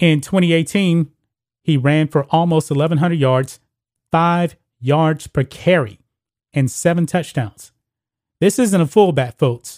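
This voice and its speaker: The speech moves at a fairly slow pace with long, frequent pauses, ordinary pitch variation and very even loudness, on a very clean recording with a silent background. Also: man, fairly high pitch for a man. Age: 40s. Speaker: sports commentary host. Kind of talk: opinionated sports commentary.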